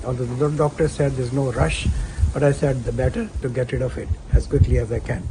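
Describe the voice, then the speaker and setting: Very fast speech from a man cuts through noticeable background noise. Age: 70s. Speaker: cancer survivor. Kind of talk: testimony.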